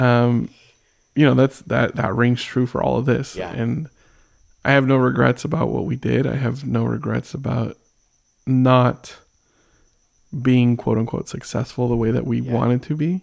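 Here a man speaks at a moderate pace. His speech has long, frequent pauses. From San Diego, California. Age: 30s. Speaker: musician. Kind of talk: casual chat.

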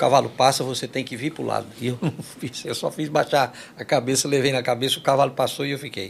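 A man's medium-pitched voice with vocal fry, fairly even intonation and a very fast pace. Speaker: forró singer. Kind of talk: casual interview chat.

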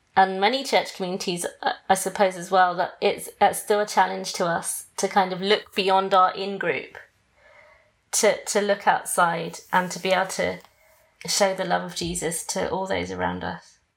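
Speaking at a moderate pace, a woman has a British accent and a medium pitch. Her intonation is monotone and flat. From Britain. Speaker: podcast host.

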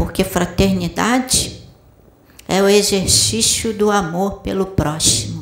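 This voice has a warm tone and a Brazilian accent, moving at a very slow pace against noticeable background noise. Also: woman. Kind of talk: sermon. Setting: spiritual center with audience. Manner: didactic, direct rhetorical questions; warm, paternal, exhorting.

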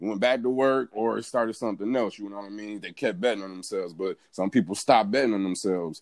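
A man with an American accent speaks in a plain, everyday voice at a fairly quick pace. His pitch is fairly low, with ordinary variation. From Michigan (Pontiac, near Detroit). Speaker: entrepreneur and photographer. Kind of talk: casual chat.

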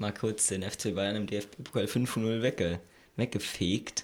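At a very slow pace, a man speaks with a fairly low pitch and fairly even intonation. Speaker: podcast host. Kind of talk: casual chat. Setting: recording room, friends drinking beer.

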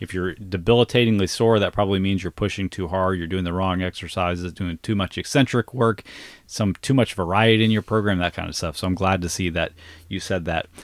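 In a very clean recording with a silent background and a dry, close sound with no echo, a man with an American accent speaks at a fairly quick pace in a very deep, low pitch with fairly even intonation. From US South. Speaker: fitness coach and podcast host. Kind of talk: casual chat. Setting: camper.

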